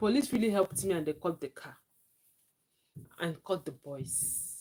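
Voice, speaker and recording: A woman's somewhat breathy, medium-pitched voice at a moderate pace, with very wide pitch swings and big swings in loudness. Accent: Nigerian. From Nigeria. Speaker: livestreamer. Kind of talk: live stream chat.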